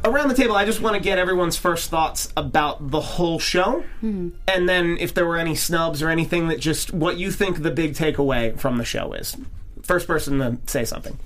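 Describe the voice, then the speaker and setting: In a room with audible echo, a man speaks at a high pitch. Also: lively intonation, fairly quick pace. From Philadelphia, US. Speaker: podcast host. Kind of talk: casual chat.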